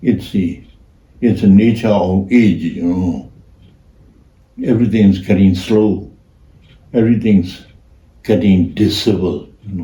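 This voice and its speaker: A man speaks at a fairly slow pace in a Burmese accent, with ordinary pitch variation. Audible room echo surrounds his voice. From Myanmar. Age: old. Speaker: artist. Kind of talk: casual chat. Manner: halting.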